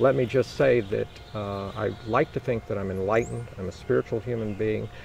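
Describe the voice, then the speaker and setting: A man speaks at a fairly quick pace with a fairly low pitch and ordinary pitch variation. Music plays in the background. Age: 60s. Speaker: mayoral candidate. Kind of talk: interview.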